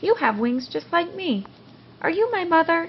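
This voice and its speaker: A woman at a moderate pace uses a put-on character voice that is squeaky and extremely high in pitch. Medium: read story.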